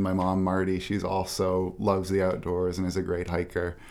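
The man talks at a fairly quick pace in a very deep, low pitch. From Maine, Midcoast. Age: 20s. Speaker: outdoor writer. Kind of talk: casual interview. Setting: studio.

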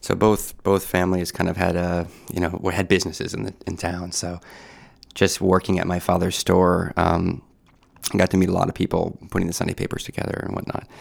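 At a fairly quick pace, a man with a very deep, low pitch speaks in a monotone, flat intonation. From Maine, Camden. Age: 30s. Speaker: film festival director. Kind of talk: interview.

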